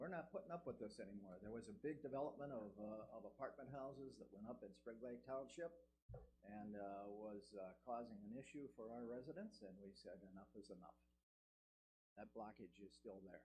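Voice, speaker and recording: Lively intonation and vocal fry mark this man's dark, mellow tone at medium pitch. He talks at a fairly quick pace, with audible room echo. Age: 70s. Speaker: planning commission applicant. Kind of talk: public meeting presentation. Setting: city council meeting. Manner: halting, many fillers.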